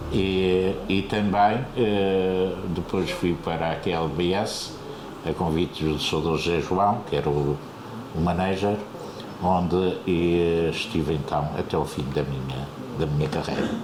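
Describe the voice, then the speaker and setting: Very deep and low in pitch, a man talks at a fairly slow pace with ordinary pitch variation, audible room echo and noticeable background noise. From Azores, Terceira island. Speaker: retired radio broadcaster. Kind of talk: interview. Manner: hesitant, many fillers.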